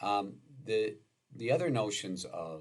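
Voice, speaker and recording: Speaking with an American accent, a man with a fairly low pitch and vocal fry makes very wide pitch swings amid audible room echo. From US Midwest (Wisconsin). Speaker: law professor. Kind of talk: lecture. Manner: halting, many filler words.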